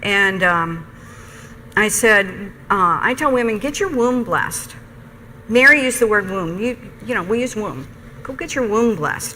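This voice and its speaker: Over noticeable background noise and audible room echo, a woman with a fairly high pitch and lively intonation talks at a moderate pace, leaving long, frequent pauses. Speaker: nursing professor. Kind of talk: lecture.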